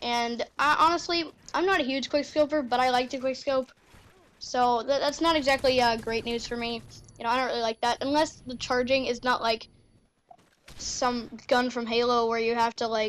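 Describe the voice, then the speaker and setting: Loud and high-pitched, a woman speaks at a moderate pace with fairly even intonation. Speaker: gaming youtuber. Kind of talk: gameplay commentary. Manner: rambling with many fillers.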